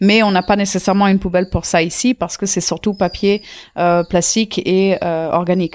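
Flat, monotone intonation from a woman at medium pitch. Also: moderate pace. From India, Auroville near Pondicherry. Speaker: intentional community member. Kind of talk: casual interview. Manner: hesitant, many fillers.

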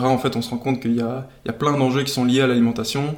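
This man's medium-pitched voice stays monotone, with flat intonation. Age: 20s. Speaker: agronomist and food nonprofit co-founder. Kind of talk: interview. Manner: casual with frequent hesitations.

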